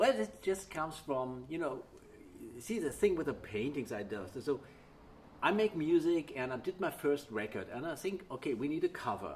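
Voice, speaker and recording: A man with a fairly high pitch and a somewhat breathy voice talks at a moderate pace, his pitch swinging very widely. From Germany, Wiesbaden, Hesse. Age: 50s. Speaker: guitarist. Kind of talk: casual interview. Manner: halting, with frequent restarts.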